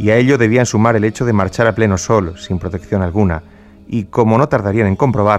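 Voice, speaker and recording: A man with a Spanish accent and a fairly low pitch speaks at a fairly quick pace with ordinary pitch variation, with music in the background. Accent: Peninsular Spanish. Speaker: radio host narrator. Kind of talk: dramatic narration of historical events, radio storytelling. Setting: radio studio broadcast. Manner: solemn, grave, measured pace; emotionally charged, somber, building tension.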